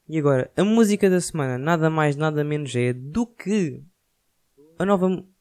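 With a European Portuguese accent, this man talks at a moderate pace, his fairly high voice moving in lively intonation. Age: 20s. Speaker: podcaster. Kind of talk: casual monologue.

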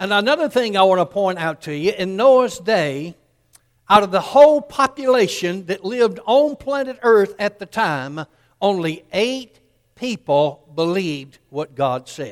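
A man with a Southern US accent talks fairly slowly in a high voice. His pitch swings very widely. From US South, Columbus, Georgia. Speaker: pastor. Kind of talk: sermon.

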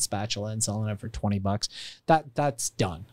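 A man with an American accent speaks in a plain, everyday voice at a moderate pace with ordinary pitch variation. The recording is very clean, with a silent background and a dry, close sound with no echo. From Iran, raised in the US from childhood. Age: 40s. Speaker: entrepreneur and author. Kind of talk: podcast interview.

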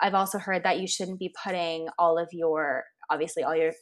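A woman talks in a Californian accent on a very clean recording with a silent background. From US West Coast (San Francisco). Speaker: podcast host, holistic nutritionist. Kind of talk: interview.

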